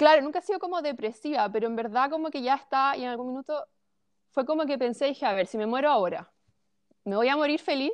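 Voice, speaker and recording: Talking at a very fast pace, a woman speaks at a high pitch. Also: lively intonation. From Chilean Patagonia, small town. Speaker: holistic coach. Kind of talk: interview, personal story.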